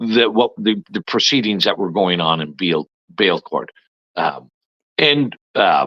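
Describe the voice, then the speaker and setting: A man with a fairly low pitch and vocal fry talks at a fairly slow pace, leaving long, frequent pauses. His pitch swings very widely. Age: 60s. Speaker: former provincial politician. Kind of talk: interview. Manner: halting, many fillers.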